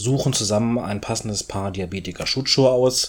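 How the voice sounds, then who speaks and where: A man speaks with a fairly low pitch and ordinary pitch variation. It is a normal speaking voice. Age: 30s. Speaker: orthopedic shoemaker. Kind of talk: interview.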